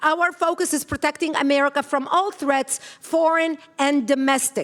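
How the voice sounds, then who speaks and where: The voice holds a very even loudness and fairly even intonation throughout. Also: woman, high pitch for a woman. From Lebanon. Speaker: activist organization founder. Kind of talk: conference speech. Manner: fast.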